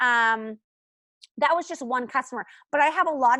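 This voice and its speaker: Over a quiet background, a woman's high, bright, sharp voice shows ordinary pitch variation, with a dry, close sound and no echo. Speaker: essential oils team leader. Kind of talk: team training call. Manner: fast.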